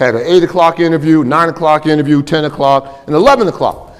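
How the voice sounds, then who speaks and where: An animated man at a fairly quick pace, with noticeable background noise. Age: 70s. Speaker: business school professor and keynote speaker. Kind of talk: fireside chat keynote talk.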